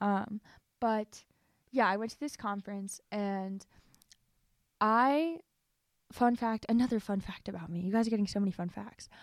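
On a very clean recording with a silent background, a woman speaks at a moderate pace in a medium pitch. Her pitch varies in an ordinary way, with big swings in loudness and long, frequent pauses. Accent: American. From US Midwest, Ohio. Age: 20s. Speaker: college student and podcast co-host. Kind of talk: casual chat, personal faith testimony.

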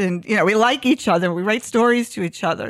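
A woman's fairly high voice with an American accent and a dry, close sound with no echo. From New York. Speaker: fashion design program coordinator. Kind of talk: casual chat. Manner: animated.

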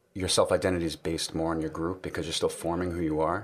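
A man with a slight New York accent. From New York City. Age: 30s. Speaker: guest. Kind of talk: casual chat.

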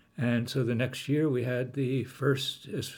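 A man speaks at a medium pitch in a normal speaking voice. His pace is fairly slow and his intonation fairly even. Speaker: pastor. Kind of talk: interview.

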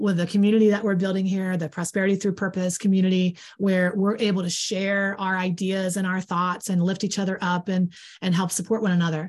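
A woman talks at a very fast pace with hardly any pauses, her voice somewhat breathy and her intonation flat and monotone. The recording is very clean, with a silent background. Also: medium pitch for a woman. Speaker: podcast co-host and coach trainer. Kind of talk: casual chat. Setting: live stream. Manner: folksy, plain-spoken.

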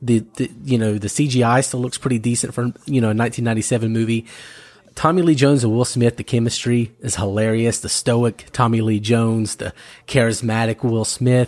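A man of medium pitch talks fairly quickly in an American accent with fairly even intonation. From North Carolina. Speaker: podcast host guest. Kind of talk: casual chat.

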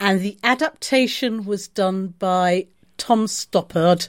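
On a very clean recording with a silent background and a dry, close sound with no echo, a woman speaks at a very slow pace with medium pitch and ordinary pitch variation. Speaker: podcast host. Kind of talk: casual chat.

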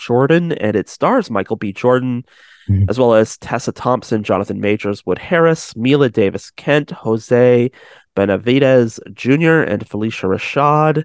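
Against a quiet background, a man talks fairly slowly with lively intonation. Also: dry, close sound with no echo. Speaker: radio host. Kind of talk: radio dj patter: upbeat campus-radio banter, station ID, show sign-off. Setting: studio. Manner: upbeat, brisk, energetic radio announcer delivery; playful, laughing, chatty between jokes.

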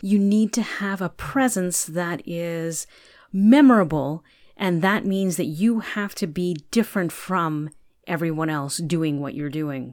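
A woman's normal speaking voice at a fairly low pitch with lively intonation and a fairly slow pace, on a very clean recording with a silent background. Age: 50s. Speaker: podcast host. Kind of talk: monologue commentary.

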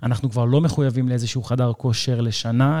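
A man talks at a fairly quick pace in a medium pitch. He has an unremarkable speaking voice with fairly even intonation. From Israel. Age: 30s. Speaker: fitness trainer. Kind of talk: casual chat.

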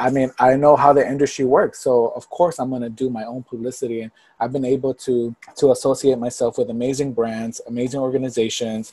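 In an American accent, the voice has a dark, mellow tone and a monotone, flat intonation. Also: man, medium pitch for a man, fairly quick pace, big swings in loudness. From Texas, Port Arthur near Houston. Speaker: influencer marketing professional. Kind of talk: casual interview chat.

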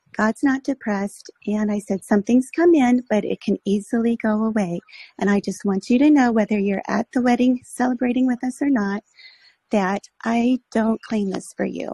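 A woman speaks in a fairly high, somewhat breathy voice with a dark, mellow tone. The sound is dry and close, without echo. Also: ordinary pitch variation, moderate pace. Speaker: caller. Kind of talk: call-in story. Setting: phone call via app.

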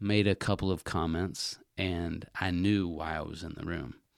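A very deep, low-pitched man in an American accent is heard on a very clean recording with a silent background. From US South, Atlanta, Georgia. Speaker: business consultant. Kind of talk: casual chat.

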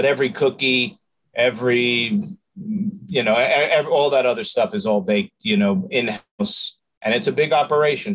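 Someone with a New York accent talks at a moderate pace, the pitch making very wide swings. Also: man, fairly high pitch for a man. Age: 50s. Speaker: restaurant owner. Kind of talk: interview.

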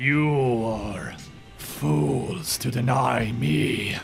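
A man's rumbling, put-on character voice at medium pitch, with clear music in the background. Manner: menacing, scornful.

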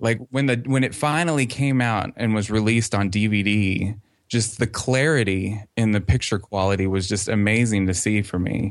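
With a normal speaking voice, a man talks at a moderate pace and fairly low pitch, with hardly any pauses, very even loudness and ordinary pitch variation. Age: 30s. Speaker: fan website creator. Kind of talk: interview.

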